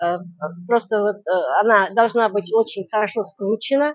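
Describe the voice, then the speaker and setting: Her pace is very slow. This woman speaks at a fairly high pitch with ordinary pitch variation. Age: 70s. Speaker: craftswoman and weaving teacher. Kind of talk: interview demonstration.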